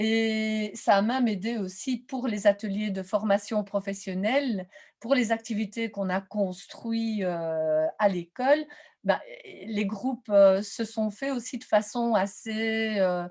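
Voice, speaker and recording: This woman has a fairly high pitch and a somewhat breathy voice with fairly even intonation. She talks at a very slow pace, with big swings in loudness. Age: 60s. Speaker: teacher-training lecturer in visual arts. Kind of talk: webinar presentation Q&A. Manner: hesitant, many fillers.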